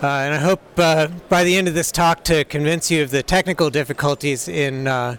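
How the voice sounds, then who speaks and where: A fairly high-pitched man with an American accent and fairly even intonation, dry and close with no echo, over noticeable background noise. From United States. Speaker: software developer, conference speaker. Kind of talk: conference talk. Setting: stage with audience. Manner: hesitant, many fillers.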